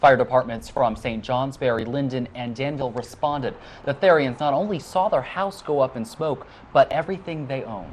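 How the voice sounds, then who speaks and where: This man has a plain, everyday voice at medium pitch. His pace is moderate and his pitch variation ordinary. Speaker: news reporter and anchor. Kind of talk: local TV news reporting and anchoring. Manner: studio anchor delivery, clear and formal.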